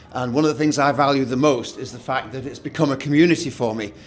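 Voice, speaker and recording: A man is speaking. His pitch sits fairly high. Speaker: event co-host, former head teacher. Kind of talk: event presentation. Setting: meeting room with audience. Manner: loud.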